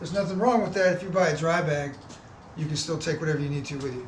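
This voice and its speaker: A man talks very fast at a fairly high pitch with ordinary pitch variation. Noticeable background noise and audible room echo fill the recording. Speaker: fishing channel host. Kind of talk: product review.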